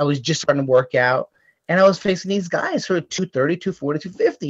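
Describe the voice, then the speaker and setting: Over a quiet background, a man talks at a moderate pace. His pitch variation is ordinary. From US, Italian-American household. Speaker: actor and performer; actor. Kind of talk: casual chat. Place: home room. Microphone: video call.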